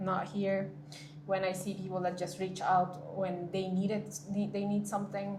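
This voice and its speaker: In a Spanish accent, a woman talks at a moderate pace and medium pitch with monotone, flat intonation, and the room echo is audible. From Peru. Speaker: World Bank employee, scholarship alumna. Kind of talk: interview.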